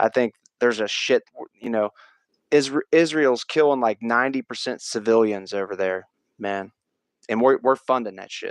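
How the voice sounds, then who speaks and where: Long, frequent pauses break up this speech, which has ordinary pitch variation, big swings in loudness, and a dry, close sound with no echo. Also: man, medium pitch for a man, moderate pace. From US Midwest. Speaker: live streamer. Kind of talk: casual live-stream chat. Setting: live stream reading chat. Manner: animated.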